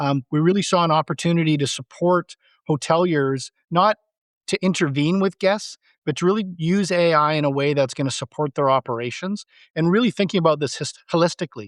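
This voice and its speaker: An ordinary speaking voice from a man, fairly high in pitch with ordinary pitch variation, with a Canadian accent, at a fairly quick pace, in a dry, close sound with no echo against a quiet background. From Canada. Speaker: tech company CEO. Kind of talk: podcast interview.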